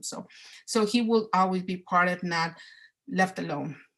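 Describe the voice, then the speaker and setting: With a Spanish accent, a woman speaks somewhat breathily at a fairly slow pace, her medium pitch carried by fairly even intonation. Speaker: parent presenter at a training. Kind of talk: online training presentation. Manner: halting, many fillers and repetitions.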